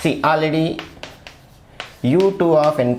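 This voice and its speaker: Amid noticeable background noise and audible room echo, a man speaks at a very slow pace. His fairly high pitch shows ordinary variation. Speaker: maths lecturer. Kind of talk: lecture.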